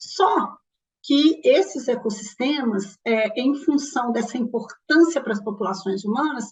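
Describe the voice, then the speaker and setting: A woman talks fairly slowly, her high pitch carried by lively intonation. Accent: strong Minas Gerais. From Minas Gerais, Brazil (Belo Horizonte). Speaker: ecologist and course lecturer. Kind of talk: lecture. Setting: recorded online class.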